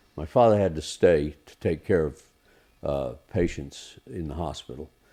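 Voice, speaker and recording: In an American accent, a man with a very deep, low pitch and vocal fry talks with lively intonation. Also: moderate pace. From Gaza Strip and US, American parents. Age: 70s. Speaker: screenwriter. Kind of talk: interview conversation. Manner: hesitant, many fillers.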